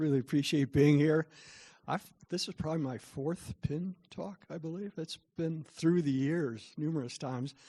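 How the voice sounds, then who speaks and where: A man with an American accent has a dark, mellow tone and a fairly high pitch with ordinary variation. The sound is dry and close with no echo, against a quiet background. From US Midwest, southern Missouri. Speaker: author and parenting speaker. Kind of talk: lecture. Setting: live audience in a room. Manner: soft-spoken.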